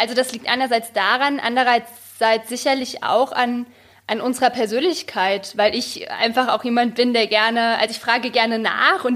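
This woman has an unremarkable speaking voice, a fairly high pitch, ordinary pitch variation and a moderate pace. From Germany. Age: young. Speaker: journalist and photographer. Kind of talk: casual interview chat.

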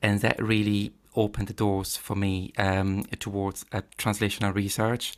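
A man speaks at a moderate pace in a fairly low, flat monotone. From Italy, Padua. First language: Italian. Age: 40s. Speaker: paediatric gastroenterologist. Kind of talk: interview. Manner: hesitant, with fillers.

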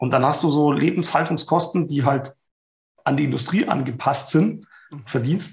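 A man's fairly high, somewhat breathy voice with fairly even intonation at a moderate pace. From Bavaria, Ingolstadt. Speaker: event safety expert. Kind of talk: casual interview.

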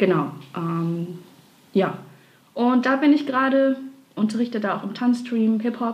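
Through noticeable background noise, a woman with a fairly high pitch talks at a fairly slow pace, leaving long, frequent pauses. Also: lively intonation. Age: 20s. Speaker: dancer and graphic designer. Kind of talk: casual interview.

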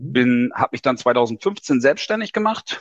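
A man with a normal speaking voice talks at medium pitch with ordinary variation. The sound is dry and close with no echo, over a quiet background. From Lower Saxony, northern Germany. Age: 40s. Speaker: tax advisor. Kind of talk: interview.

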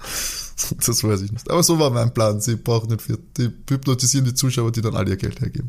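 A man's medium-pitched voice with vocal fry, ordinary pitch variation, a fairly quick pace and hardly any pauses. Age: 20s. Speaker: podcast host. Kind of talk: casual chat.

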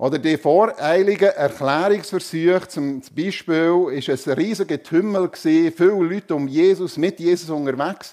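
A man with a high voice for a man talks at a fairly slow pace. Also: very clean recording, silent background. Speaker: preacher. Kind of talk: sermon in church, conversational and warm. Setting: church with congregation. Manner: animated, humorous, conversational; rhetorical questions to the congregation.

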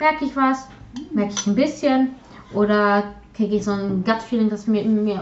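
A woman with a Polish accent talks at medium pitch with ordinary pitch variation, and audible room echo surrounds her voice. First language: Polish (speaking German). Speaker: podcast co-host, hobby artist. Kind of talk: casual chat. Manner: halting, many fillers and repetitions.

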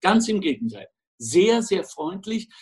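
A man speaks at a very slow pace. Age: 60s. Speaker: podcast co-host. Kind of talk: casual chat.

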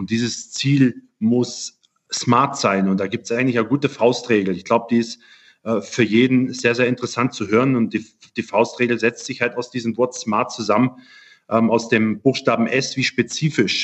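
A man talks at a moderate pace with fairly even intonation and a medium pitch. He has an unremarkable speaking voice. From Germany. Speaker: physiotherapist. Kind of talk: interview. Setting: video call.

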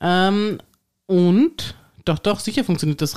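This woman has an ordinary speaking voice, a fairly low pitch and ordinary pitch variation, and she keeps a moderate pace. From Tyrol, Austria. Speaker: podcast host. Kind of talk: casual chat.

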